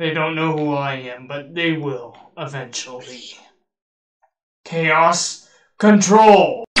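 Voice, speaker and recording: A put-on character voice at a middle pitch moves at a very slow pace with long, frequent pauses. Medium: machinima. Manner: casual, friendly, easily surprised.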